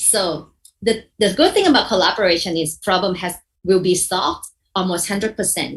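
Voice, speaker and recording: A woman with a somewhat breathy, medium-pitched voice talks at a moderate pace with ordinary pitch variation. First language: not English. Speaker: mediation trainer. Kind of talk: workshop lecture. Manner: halting, with repetitions and self-corrections.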